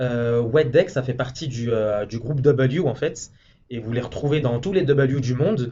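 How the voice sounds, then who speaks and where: Somewhat breathy, a man talks at a medium pitch and a fairly slow pace with ordinary pitch variation. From France. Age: 20s. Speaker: hotel manager. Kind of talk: interview. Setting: office in a hotel.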